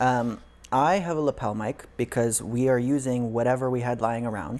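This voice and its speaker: Quiet mumbling at a moderate pace. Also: man, medium pitch for a man, ordinary pitch variation. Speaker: podcast co-host. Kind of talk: casual chat. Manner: quiet talker; mumbles.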